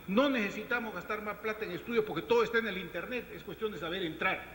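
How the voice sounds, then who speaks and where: Over noticeable background noise, a man raises and projects his high-pitched voice. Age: 60s. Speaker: government environmental official. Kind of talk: panel discussion. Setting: round table with audience. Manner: animated.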